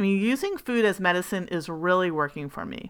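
A woman's animated voice at a medium pitch and fairly slow pace, with ordinary pitch variation, in a very clean recording with a silent background. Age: 40s. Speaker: wellness coach podcast host. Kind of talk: solo podcast monologue.

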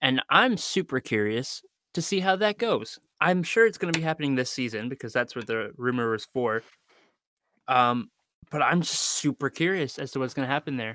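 A man speaks in a plain, everyday voice at a medium pitch and moderate pace, with lively intonation. The sound is dry and close with no echo, on a very clean recording with a silent background. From Canada. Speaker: podcast guest. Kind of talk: casual chat.

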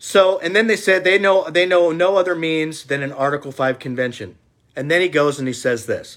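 The recording is very clean, with a silent background. A man talks at a fairly quick pace in a fairly high voice with lively intonation. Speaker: political video blogger. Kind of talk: casual monologue. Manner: passionate, intense.

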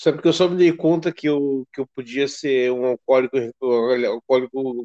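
A man with a normal speaking voice talks at a moderate pace and a medium pitch, with ordinary pitch variation. The sound is dry and close, with no echo. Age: 40s. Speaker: podcast host. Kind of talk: interview.

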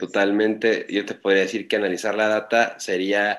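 A man speaks at a moderate pace with a fairly low pitch. His intonation stays flat and monotone. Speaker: e-commerce and marketing consultant. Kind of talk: interview. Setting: online call.

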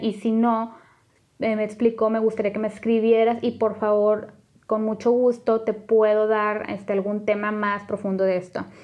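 This woman's voice sits at a fairly high pitch. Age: 30s. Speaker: podcast host. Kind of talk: personal testimony monologue. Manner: halting, many fillers.

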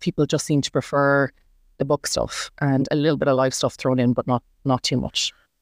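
A woman with an Irish accent at a moderate pace, in a very clean recording with a silent background and a dry, close sound with no echo. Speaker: book blogger and nurse. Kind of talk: casual chat interview. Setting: in person.

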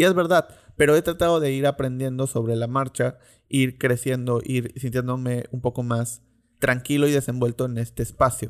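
A man talks at a moderate pace in a plain, everyday voice with medium pitch and fairly even intonation. The recording is very clean, with a silent background. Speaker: podcast host. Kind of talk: monologue.

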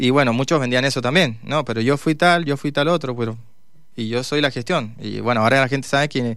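A man talks at a fairly quick pace in an ordinary speaking voice, medium in pitch with ordinary variation. The recording is very clean, with a silent background. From Mendoza, Argentina. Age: 40s. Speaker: mayoral candidate, politician. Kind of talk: radio interview. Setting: radio studio.

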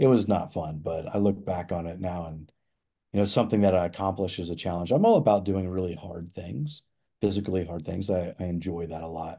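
At a fairly quick pace, a man with an American accent speaks in a dark, mellow tone at a very deep, low pitch. His pitch varies in an ordinary way, his loudness swings widely, and the background is quiet. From Nebraska, US Midwest. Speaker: hunting show host, entrepreneur. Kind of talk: casual interview.

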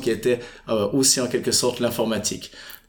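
Noticeable background noise is present throughout. Over it, a man talks with fairly even intonation. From Switzerland, Fribourg. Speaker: entrepreneur. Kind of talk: interview. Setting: office by Lake Geneva.

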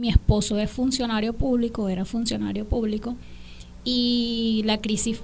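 A fairly quick pace in a Spanish accent. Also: woman. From Venezuela, Miranda state. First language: Spanish (speaking Portuguese). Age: 20s. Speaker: Venezuelan immigrant. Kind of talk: testimony.

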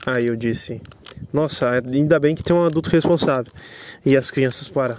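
Long, frequent pauses break up this man's speech. His pace is moderate. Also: fairly even intonation. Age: 20s. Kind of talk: casual chat. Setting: outdoors.

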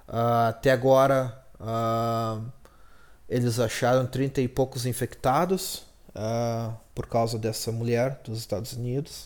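A man's medium-pitched voice with fairly even intonation, at a very slow pace. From Brazil. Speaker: podcast host. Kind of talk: solo casual monologue. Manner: hesitant, many fillers.

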